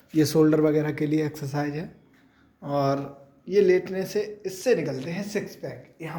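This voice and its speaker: Fairly high-pitched man's voice with audible room echo. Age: 20s. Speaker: vlogger showing a gym. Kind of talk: casual vlog banter.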